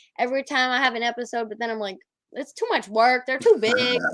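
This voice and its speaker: An animated, loud voice with a bright, sharp tone. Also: woman. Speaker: podcast host. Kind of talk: casual chat.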